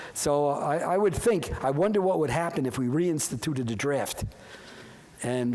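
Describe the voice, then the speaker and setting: In a room with audible echo, a man with an American accent and a fairly high pitch speaks at a moderate pace with lively intonation. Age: 80s+. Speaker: professor. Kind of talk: lecture. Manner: halting.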